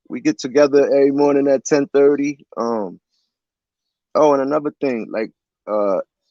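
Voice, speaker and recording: A man with a fairly high pitch and a dark, mellow tone talks at a moderate pace. He leaves long, frequent pauses, and the sound is dry and close with no echo. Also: ordinary pitch variation. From Central New Jersey. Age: 40s. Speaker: livestream host. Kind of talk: casual chat.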